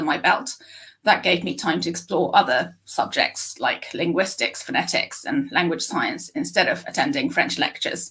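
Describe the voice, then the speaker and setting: Here a woman speaks with a British accent. Her pace is moderate. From UK. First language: Japanese. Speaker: speech scientist. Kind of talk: interview. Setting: live stream.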